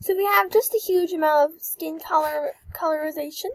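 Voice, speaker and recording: A woman speaks with a high-pitched voice. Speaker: gaming video creator. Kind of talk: game review tutorial. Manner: halting.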